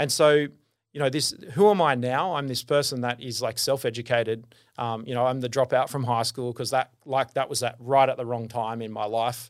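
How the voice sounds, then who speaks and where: Recorded very cleanly against a silent background, a man with an Australian accent talks at a moderate pace with fairly even intonation. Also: medium pitch for a man. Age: 40s. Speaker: business founder and consultant. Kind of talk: casual interview chat.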